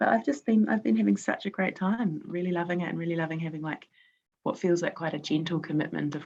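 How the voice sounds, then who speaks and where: Speaking at a very fast pace, a woman with a New Zealand accent has a very deep, low pitch for a woman, and the background is quiet. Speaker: quilt-along participant. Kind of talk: casual chat. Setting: video call. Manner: halting.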